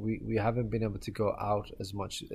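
Over a silent background in a very clean recording, a man's voice comes through somewhat breathy. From Ireland. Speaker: fundraising manager. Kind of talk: casual chat.

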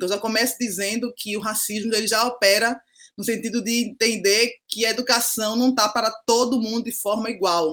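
At a moderate pace, a woman with an unremarkable speaking voice speaks at a fairly high pitch and fairly even intonation. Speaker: pedagogue and social educator. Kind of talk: podcast interview. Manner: frequent tag 'né' fillers.

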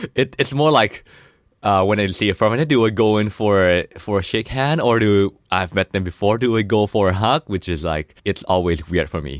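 A man in a Thai accent, moderate pace, lively intonation, dry and close sound with no echo, quiet background. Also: fairly low pitch for a man. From Thailand. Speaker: podcast host. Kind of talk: casual chat.

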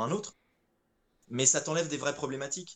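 A man is talking. His pace is very fast. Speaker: voice actor. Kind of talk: casual interview. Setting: video call over Discord.

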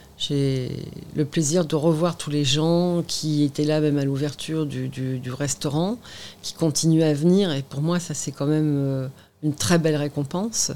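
Very deep, low pitch from a woman, dark and mellow in tone, with fairly even intonation at a fairly slow pace on a very clean recording with a silent background. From Normandy, Seine-Maritime. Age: 50s. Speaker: restaurant owner and antique dealer. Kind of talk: interview. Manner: halting.

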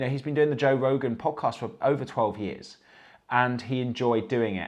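A man with an English accent at a medium pitch, ordinary pitch variation, and a quiet background. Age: 30s. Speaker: fitness coach and livestream host. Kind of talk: motivational livestream talk. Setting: live stream from home. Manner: animated.

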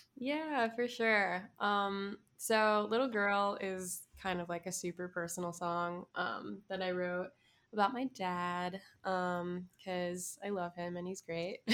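Speaking in a Miami accent, a woman uses a medium pitch. Her pace is very slow. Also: ordinary pitch variation. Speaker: musician. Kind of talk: casual interview chat. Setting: video call.

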